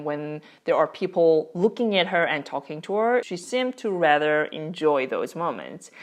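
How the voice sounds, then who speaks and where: With a Korean accent, the speaker moves at a fairly slow pace, the intonation lively. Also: woman. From South Korea. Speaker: parenting vlogger. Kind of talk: casual vlog talk to camera.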